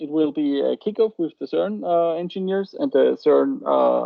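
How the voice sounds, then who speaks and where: The speaker talks at a fairly slow pace in a German accent. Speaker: startup program participant presenting. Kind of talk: info session presentation. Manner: halting, many fillers.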